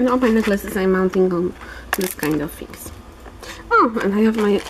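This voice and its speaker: A woman speaks at a medium pitch with noticeable noise behind her. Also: ordinary pitch variation, moderate pace. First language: Polish. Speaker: polymer clay crafter. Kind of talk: tutorial. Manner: halting.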